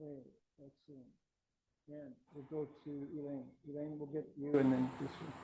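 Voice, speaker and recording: Somewhat breathy, with a dark, mellow tone and an American accent, the voice holds a flat, monotone intonation at a moderate pace, its loudness swinging widely between long, frequent pauses. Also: man, fairly high pitch for a man. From US Midwest, Columbus Ohio. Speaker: Buddhist monk, meditation teacher. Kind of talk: class introduction and teaching. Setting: meditation class with group.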